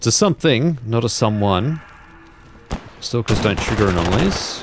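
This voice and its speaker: A man's lively intonation and very even loudness over music in the background. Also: medium pitch for a man, moderate pace. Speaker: gaming streamer. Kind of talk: let's play commentary. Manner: softer than normal.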